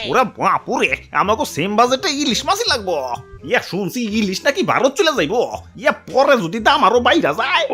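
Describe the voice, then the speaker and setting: A man uses a cartoonish character voice pitched extremely high, raised and projected at a moderate pace. Clear music plays in the background. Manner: exclaims "ore bapure" often.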